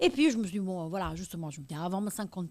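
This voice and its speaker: In a very clean recording with a silent background, a woman with a slight Italian accent talks at a very fast pace in a bright, sharp tone. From northern Italy, province of Pavia. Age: 50s. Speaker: ultra-trail runner. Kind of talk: interview. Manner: hesitant, many fillers.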